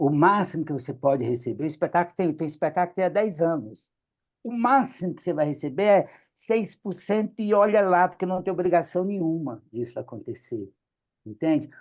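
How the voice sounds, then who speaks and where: In a quiet background, a man with a high pitch speaks at a fairly quick pace with lively intonation. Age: 60s. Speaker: clown and theatre director. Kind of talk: meeting discussion. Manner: animated.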